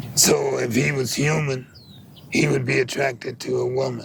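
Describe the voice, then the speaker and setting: In an American accent, a man talks at a very slow pace. Noticeable background noise runs underneath. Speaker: Ethiopian priest, poet and interviewee. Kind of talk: interview answer, casual storytelling. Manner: conversational, halting, reflective.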